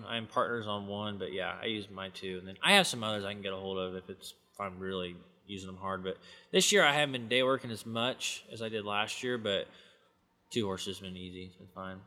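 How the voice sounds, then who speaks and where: Speaking with an American accent and a plain, everyday voice, a man with fairly low pitch moves at a fairly quick pace, his intonation fairly even but his loudness swinging widely. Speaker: cowboy and farrier. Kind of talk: interview, casual chat.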